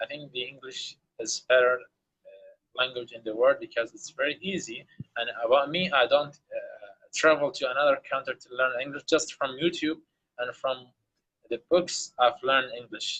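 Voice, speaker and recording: Speaking with an Arabic accent, a man talks with big swings in loudness. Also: moderate pace. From Iraq. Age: young. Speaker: English learner. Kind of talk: casual chat. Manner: halting.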